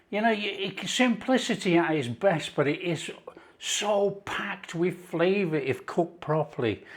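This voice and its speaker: A man speaks in a high voice with a Yorkshire accent. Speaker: cooking presenter. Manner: enthusiastic.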